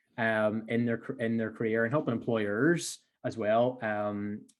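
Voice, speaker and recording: Here is a man with a Belfast accent. His pitch is medium. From Northern Ireland, Belfast. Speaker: entrepreneur. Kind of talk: podcast interview.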